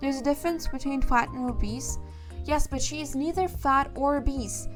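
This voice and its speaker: Music can be heard underneath. A woman's speech moves at a middling speed. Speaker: VTuber streamer. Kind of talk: casual opinion talk to camera. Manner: stuttering, hesitant.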